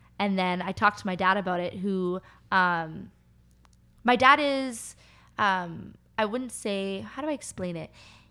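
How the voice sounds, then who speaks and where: Recorded very cleanly against a silent background, a woman with a Canadian accent speaks at a medium pitch in a bright, sharp tone, at a fairly slow pace, with long, frequent pauses. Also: ordinary pitch variation. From North Vancouver, Canada. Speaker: youth leader and anti-trafficking worker. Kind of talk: testimony.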